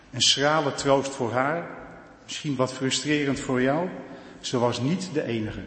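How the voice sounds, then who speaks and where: In a room with audible echo and noticeable background noise, a man talks at a fairly slow pace, fairly high in pitch with ordinary pitch variation. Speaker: church council member. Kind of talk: farewell speech. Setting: church.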